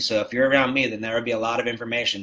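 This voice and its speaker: A man is heard over noticeable background noise. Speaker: health and wellness coach. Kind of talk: live stream chat with viewers. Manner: fast; animated.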